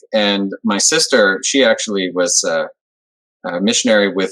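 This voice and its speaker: Recorded dry and close with no echo, the speaker talks at a moderate pace in a Canadian accent. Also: man. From Montreal, Quebec. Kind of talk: interview. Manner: conversational.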